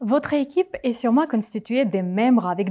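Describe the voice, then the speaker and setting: A woman with a non-native accent and lively intonation, on a very clean recording with a silent background. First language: not French (speaking French). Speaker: conference speaker, project manager. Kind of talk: conference talk.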